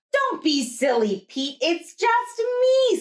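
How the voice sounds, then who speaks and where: Using a put-on character voice, a woman speaks at a very slow pace in an extremely high, squeaky pitch with very wide pitch swings. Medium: read story.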